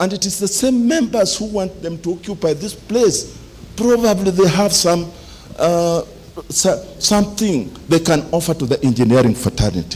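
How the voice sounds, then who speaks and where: At a moderate pace, a man talks with lively intonation and a high pitch. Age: 70s. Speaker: engineer, association member. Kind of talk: meeting speech, appeal to members. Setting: general meeting in a club hall.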